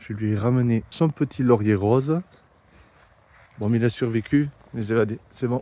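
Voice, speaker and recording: A soft-spoken man in a dark, mellow tone at a medium pitch and moderate pace, with ordinary pitch variation and long, frequent pauses, in a very clean recording with a silent background. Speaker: travel vlogger. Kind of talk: casual vlog narration. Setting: outdoors, in a small courtyard. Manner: soft-spoken, speaking quietly.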